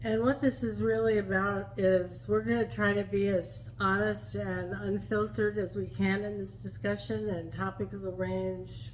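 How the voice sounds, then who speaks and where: Noticeable background noise fills the recording. Her delivery, a woman's, moves at a fairly slow pace. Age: 70s. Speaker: vlogger. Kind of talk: casual chat.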